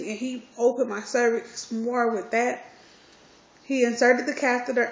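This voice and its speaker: A woman speaks in a high voice. Her pace is moderate. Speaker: vlogger. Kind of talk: personal vlog. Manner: casual, hesitant with fillers.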